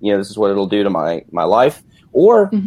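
Speaking with an unremarkable speaking voice, the man has a fairly low pitch and ordinary pitch variation. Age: 30s. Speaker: physical therapist. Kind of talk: interview.

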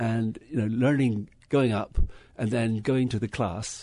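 Against a quiet background, a man with an English accent speaks in a dark, mellow tone with ordinary pitch variation. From England. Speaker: winery owner. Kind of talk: interview. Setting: studio.

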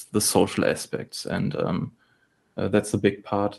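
A man speaks at a fairly slow pace with a German accent. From Germany. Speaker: game studio head and programmer. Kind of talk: interview.

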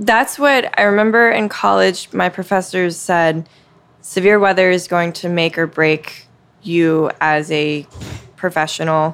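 The woman has an unremarkable speaking voice, fairly low in pitch with ordinary pitch variation. She speaks at a fairly slow pace. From US South, Mississippi Gulf Coast. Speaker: TV meteorologist. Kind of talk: interview conversation. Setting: coffee shop after hours.

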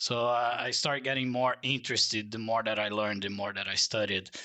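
This man has a Portuguese accent and a bright, sharp tone. His intonation stays fairly even. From Brazil. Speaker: transportation designer. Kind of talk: interview.

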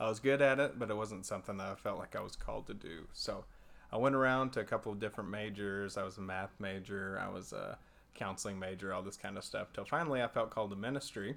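Talking at a very fast pace, a man with a Texan accent uses a fairly low pitch and ordinary pitch variation, captured in a very clean recording with a silent background. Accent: Texan American. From Texas, Abilene. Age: 20s. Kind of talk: casual chat.

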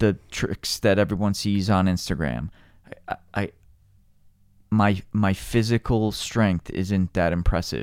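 On a very clean recording with a silent background and a dry, close sound with no echo, a man with an American accent speaks very slowly at a fairly low pitch with ordinary pitch variation. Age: 40s. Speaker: climber. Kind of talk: casual chat.

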